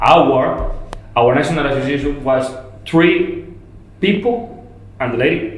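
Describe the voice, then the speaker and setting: A man with a Spanish accent speaks over noticeable background noise, with audible echo in the room. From Colombia, Medellin. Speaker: landscape architect. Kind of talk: podcast interview. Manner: halting, repeats words.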